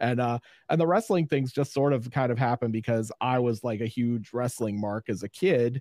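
An American-accented man with a medium pitch and a dark, mellow tone speaks at a moderate pace, with ordinary pitch variation and very even loudness, in a dry, close sound with no echo. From Pittsburgh, US. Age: 50s. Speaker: YouTube horror host. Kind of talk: casual interview.

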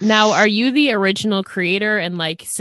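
A woman speaks at a moderate pace and medium pitch in a normal speaking voice. The sound is dry and close, with no echo. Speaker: podcast host. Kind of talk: casual interview chat.

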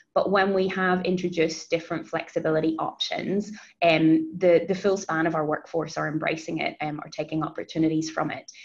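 Speaking at a fairly quick pace with hardly any pauses, a woman with a fairly low pitch keeps a monotone, flat intonation. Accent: New Zealand. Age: 30s. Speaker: HR advisor. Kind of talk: interview.

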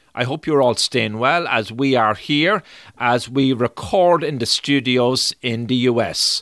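Someone with an Irish accent speaks at a fairly slow pace in a very clean recording with a silent background. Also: man. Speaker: podcast host. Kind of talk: scripted narration.

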